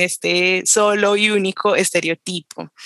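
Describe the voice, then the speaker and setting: A woman speaks at medium pitch in a bright, sharp tone with monotone, flat intonation. The sound is dry and close, with no echo. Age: 20s. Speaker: political scientist. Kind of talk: casual conversation.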